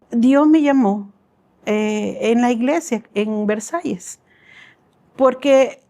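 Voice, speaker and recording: A woman with a high pitch and a dark, mellow tone speaks at a very slow pace with ordinary pitch variation. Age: 60s. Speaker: church missions volunteer. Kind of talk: testimony interview.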